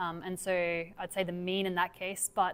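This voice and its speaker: A woman speaks with an Australian accent. Her pitch sits fairly low. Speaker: academic researcher. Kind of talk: lecture Q&A.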